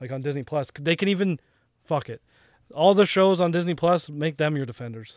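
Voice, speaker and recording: In an ordinary speaking voice, a man with a fairly high pitch talks fairly quickly, showing ordinary pitch variation and big swings in loudness. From Canada. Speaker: podcast co-host. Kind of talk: casual chat.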